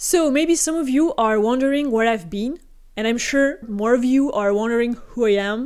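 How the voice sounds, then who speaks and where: A woman speaks in a French accent at a high pitch, with ordinary pitch variation. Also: very clean recording, silent background. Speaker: gaming YouTuber. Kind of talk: casual talk to camera.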